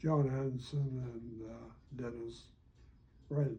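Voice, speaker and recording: Speaking at a very slow pace, a man has a medium pitch with ordinary variation and a dark, mellow tone. His voice is somewhat breathy, with audible room echo around it. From North Dakota. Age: 90s. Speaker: retired educator. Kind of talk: interview. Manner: halting.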